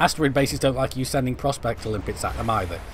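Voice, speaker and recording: Here a man is captured in a very clean recording against a silent background. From England, Stoke-on-Trent. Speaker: gaming streamer. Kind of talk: live-stream gameplay commentary. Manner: casual, chatty; halting, stumbling over words.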